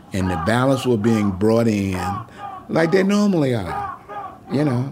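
A man speaks with a Detroit accent. Noticeable background noise runs under his voice. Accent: northern US, Detroit. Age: 70s. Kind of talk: interview recollection. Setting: in-person at home.

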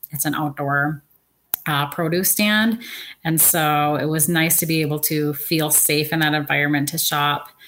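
Fairly slow speech from a woman with a very deep, low pitch. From Seattle, Washington, US Pacific Northwest. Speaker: consumer panelist, small business owner. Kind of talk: panel discussion.

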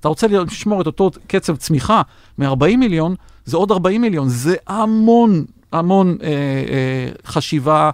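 A man with a high pitch speaks at a fairly slow pace with lively intonation and very even loudness, in a very clean recording with a silent background and a dry, close sound with no echo. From Israel. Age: 60s. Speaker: venture investor and former tech executive. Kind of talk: interview. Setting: studio.

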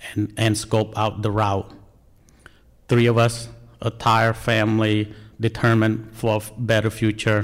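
Monotone and flat, a man's fairly low voice moves at a fairly slow pace with long, frequent pauses. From Cambodia. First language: Khmer. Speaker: National Guard soldier, refugee. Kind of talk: personal testimony.

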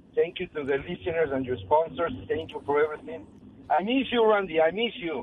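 Noticeable background noise sits behind this man's voice. He has a fairly high pitch and lively intonation. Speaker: regular caller, car business worker. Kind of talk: call-in conversation. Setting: phone call.

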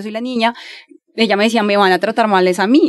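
A woman races along at a very fast pace, her pitch varying in an ordinary way. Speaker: advertising professional. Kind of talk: casual interview. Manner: animated.

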